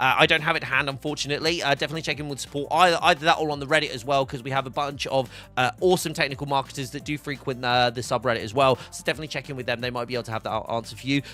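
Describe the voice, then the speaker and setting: With music in the background, a man of fairly high pitch talks very fast with fairly even intonation. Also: hardly any pauses. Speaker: livestream host for a hardware brand. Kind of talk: casual live stream chat answering viewers. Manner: loud; fast, filler-heavy.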